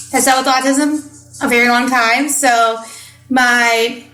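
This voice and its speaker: With music in the background and audible room echo, a woman with a Midwestern US accent speaks at a high pitch with fairly even intonation. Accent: Midwestern US, adopted. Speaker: podcast host, parenting coach. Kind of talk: casual podcast monologue.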